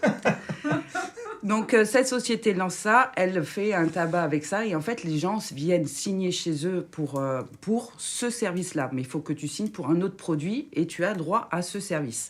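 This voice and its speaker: This woman talks at a fairly slow pace and medium pitch. Her intonation is lively. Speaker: radio show columnist. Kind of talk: casual radio chat. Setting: studio. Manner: halting, unfinished sentences.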